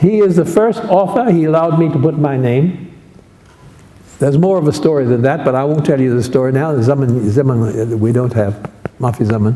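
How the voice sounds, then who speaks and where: A man with a fairly high pitch, amid audible room echo and noticeable background noise. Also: very even loudness. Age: 80s+. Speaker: academic linguist, Nubian languages specialist. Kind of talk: memorial talk with slides. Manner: halting.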